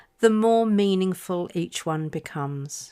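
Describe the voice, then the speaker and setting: Speaking with a British accent at a very slow pace, a woman uses lively intonation in a very clean recording with a silent background. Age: 60s. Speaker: podcast host. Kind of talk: personal reflective monologue.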